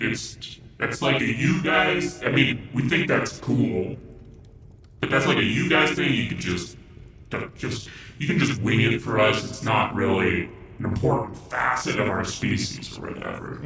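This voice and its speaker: A man puts on a character voice at a medium pitch and moderate pace. Light background noise and a clear echo are present. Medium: actual play. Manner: casual, mellow.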